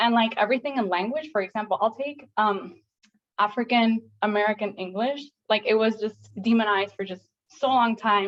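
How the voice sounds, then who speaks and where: A woman speaks with a Spanish accent at a fairly high pitch. Her intonation stays fairly even. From Puerto Rico. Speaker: doctoral student, audience member. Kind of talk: panel Q&A comment. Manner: halting, many fillers.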